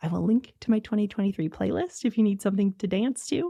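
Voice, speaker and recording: Lively intonation and a dark, mellow tone mark this woman's voice, heard dry and close with no echo on a very clean recording with a silent background. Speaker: podcast host and ADHD coach. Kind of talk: solo podcast monologue. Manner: fast.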